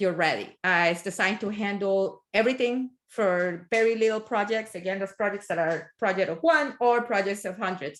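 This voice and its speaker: A strong non-native accent comes through at a moderate pace with ordinary pitch variation. There are hardly any pauses. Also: woman, medium pitch for a woman. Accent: strong foreign. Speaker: tech project manager, guest speaker. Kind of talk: technical talk.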